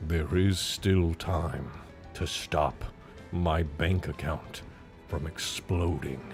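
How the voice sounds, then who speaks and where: A man puts on a character voice with a very deep, low pitch. He speaks at a very slow pace with long, frequent pauses as clear music plays in the background. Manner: put-on character voice.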